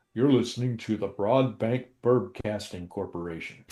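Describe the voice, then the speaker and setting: In a put-on character voice at medium pitch, a man speaks at a moderate pace against a quiet background. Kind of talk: broadcast announcer.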